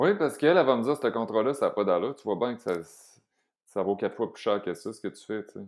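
A man with a Quebec accent talks at a very fast pace, his loudness swinging widely. The recording is very clean, with a silent background. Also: medium pitch for a man. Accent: Québécois French. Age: 40s. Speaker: vegan chef and entrepreneur. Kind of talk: casual chat.

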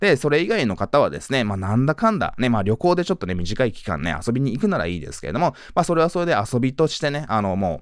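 On a very clean recording with a silent background, a man with a medium pitch and vocal fry races along at a very fast pace, barely pausing, his pitch swinging very widely. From Tokyo, Japan. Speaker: podcast host, businessman. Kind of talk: solo podcast monologue. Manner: heavy filler words, casual.

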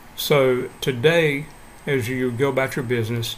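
A man speaks at medium pitch in a normal speaking voice. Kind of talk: short devotional talk followed by fervent prayer. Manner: earnest, warm, fervent and heartfelt in prayer; calm, measured, encouraging.

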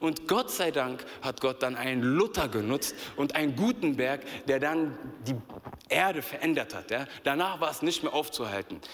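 A man with a fairly high pitch, an animated tone and lively intonation at a moderate pace, with noticeable background noise. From Berlin, Germany. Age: 30s. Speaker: youth pastor. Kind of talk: sermon. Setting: church stage with audience.

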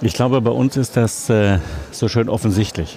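A man speaks at a moderate pace and fairly low pitch, with ordinary pitch variation and noticeable background noise behind him. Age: 50s. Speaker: publisher. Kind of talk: interview. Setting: book fair.

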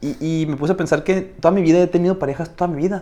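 A man's animated, high-pitched voice at a very fast pace. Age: 20s. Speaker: podcast co-host. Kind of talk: casual chat.

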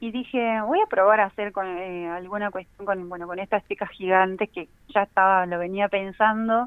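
A plain, everyday voice moves at a moderate pace with fairly even intonation. Its loudness swings widely. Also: woman, medium pitch for a woman. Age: 30s. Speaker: illustrator and teacher. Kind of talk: casual interview.

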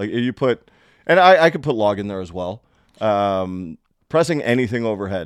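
A man's fairly low-pitched voice, a normal speaking voice, at a moderate pace with lively intonation. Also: dry, close sound with no echo. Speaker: podcast co-host. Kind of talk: casual chat.

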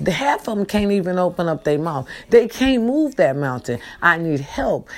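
Over noticeable background noise, a woman at medium pitch speaks at a moderate pace in an animated tone with very wide pitch swings. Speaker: online video host. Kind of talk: casual monologue. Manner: repetitive, animated.

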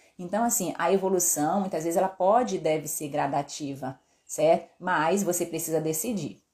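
In a very clean recording with a silent background, a woman with a dark, mellow tone and fairly low pitch speaks at a moderate pace with ordinary pitch variation. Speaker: endocrinologist doctor. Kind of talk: live stream health talk. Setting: live stream.

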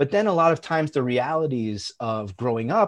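With a New York accent, a man speaks using lively intonation. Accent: New York American. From US Northeast, Long Island, New York. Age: 40s. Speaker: founder of an education tech company. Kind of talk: casual chat.

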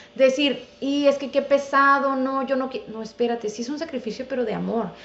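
A high-pitched woman's voice at a fairly quick pace. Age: 30s. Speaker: dentist. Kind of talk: casual interview.

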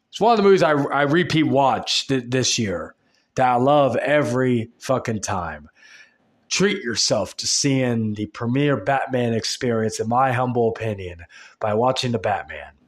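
With a normal speaking voice, a man talks at a moderate pace and medium pitch with lively intonation. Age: 20s. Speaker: podcast host. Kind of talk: solo podcast monologue.

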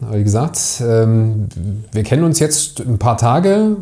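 Noticeable noise fills the background as a man talks at a medium pitch. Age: 40s. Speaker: agency owner, podcast co-host. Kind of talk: casual interview conversation.

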